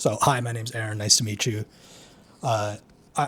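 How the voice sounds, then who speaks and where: Somewhat breathy, a man talks at a medium pitch. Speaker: YouTuber, self-improvement channel. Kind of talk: candid vlog monologue. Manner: halting, with stutters and pauses; casual, heavy filler words.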